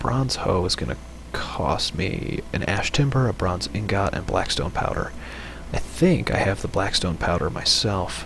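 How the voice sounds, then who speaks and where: A man whispers quietly. Noticeable background noise and audible room echo surround him. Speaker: game streamer. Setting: home, late at night. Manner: quiet, whispering.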